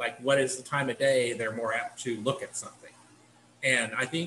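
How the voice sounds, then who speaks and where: A man at a fairly quick pace, fairly even in intonation, with light background noise. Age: 50s. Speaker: assistant professor, committee chair. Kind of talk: work meeting. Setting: video call. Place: home room. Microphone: video call.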